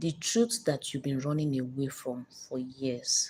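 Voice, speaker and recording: Somewhat breathy, a woman speaks at a fairly slow pace with a very deep, low pitch. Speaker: live stream host, emotional motivational speaker. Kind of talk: motivational talk on live stream. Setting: live stream. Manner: blunt, confrontational.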